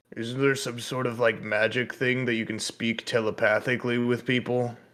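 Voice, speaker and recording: A man speaks in a raspy, put-on character voice at medium pitch, with monotone, flat intonation and a moderate pace. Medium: actual play.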